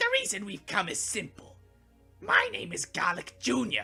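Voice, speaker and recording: At a moderate pace, a put-on character voice speaks over faint music in the background. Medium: read story. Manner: pompous.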